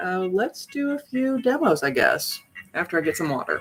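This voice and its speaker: A woman speaks over music in the background. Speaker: tarot reader. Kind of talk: live stream chat. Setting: live stream on computer. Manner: fast.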